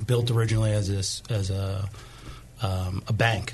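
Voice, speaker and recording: Noticeable background noise sits behind this recording. A man speaks in a monotone, flat intonation. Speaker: brewer. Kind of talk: casual interview. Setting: studio. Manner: soft-spoken.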